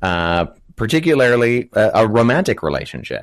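A plain, everyday voice speaks at a moderate pace with lively intonation over a quiet background. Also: man. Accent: Canadian. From Canada. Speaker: biblical studies student and apologetics speaker. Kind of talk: casual interview on a live stream.

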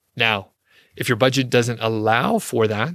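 The recording is very clean with a silent background and a dry, close sound with no echo. A man of medium pitch speaks at a fairly slow pace with fairly even intonation. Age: 40s. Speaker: podcast host on niche websites. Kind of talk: casual solo podcast monologue. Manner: relaxed, conversational with fillers.

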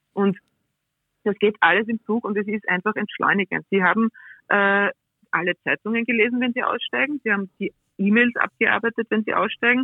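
With fairly even intonation, a woman of fairly high pitch speaks at a moderate pace and leaves long, frequent pauses. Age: 40s. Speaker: railway executive. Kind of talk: interview. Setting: remote call-in.

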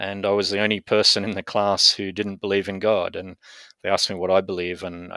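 A man with an Australian accent speaks at a fairly quick pace in a fairly low pitch, his intonation flat and monotone, on a very clean recording with a silent background. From Australia (Brisbane). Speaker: bioethics academic, former atheist. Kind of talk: interview testimony.

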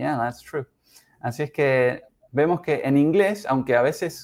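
An unremarkable speaking voice: a man with fairly high pitch and lively intonation at a moderate pace, on a very clean recording with a silent background. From Uruguay. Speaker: English teacher. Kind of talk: language lesson. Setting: live stream.

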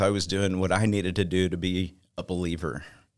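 In a Texan accent, a man with a fairly low voice speaks at a moderate pace on a very clean recording with a silent background. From Texas. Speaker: church member, accountant. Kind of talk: testimony. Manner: halting.

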